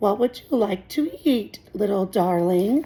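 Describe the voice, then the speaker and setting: A woman's raspy, put-on character voice at a medium pitch, fairly slow in pace with lively intonation. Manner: friendly, gentle, coaxing.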